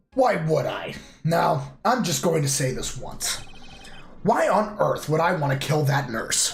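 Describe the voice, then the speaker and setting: A put-on character voice with lively intonation speaks at a fairly slow pace, with audible echo and music in the background. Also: man, high pitch for a man. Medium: game stream. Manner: pompous, complaining.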